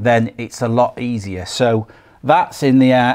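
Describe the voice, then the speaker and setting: A man talks at medium pitch. He has a strong Lancashire accent. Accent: broad Lancashire. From Lancashire, northern England. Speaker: boat restorer. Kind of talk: tutorial. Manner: casual.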